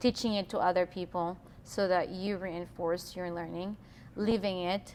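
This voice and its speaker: Her intonation monotone and flat, a woman with a non-native accent speaks at a medium pitch. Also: moderate pace. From Philippines. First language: not English. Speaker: employee, quality lead. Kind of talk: interview. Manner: hesitant.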